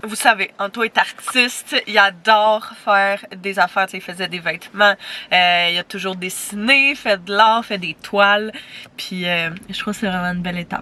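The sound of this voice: Her tone is bright and sharp as this woman talks at a moderate pace. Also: medium pitch for a woman, ordinary pitch variation.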